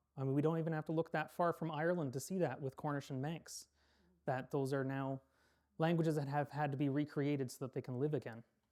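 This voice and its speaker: A man with a Canadian accent and a fairly high pitch talks at a very fast pace with fairly even intonation, on a very clean recording with a silent background. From Canada. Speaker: lecturer on Irish language history. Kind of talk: public lecture. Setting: public hall with audience. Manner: earnest, persuasive.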